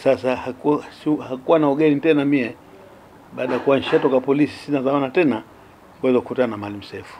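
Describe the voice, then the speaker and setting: Speaking at a very fast pace, a man keeps a medium pitch and fairly even intonation over light background noise. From Zanzibar, northern Unguja. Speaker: retired police officer and politician; politician. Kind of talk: interview testimony. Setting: at his home. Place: home room.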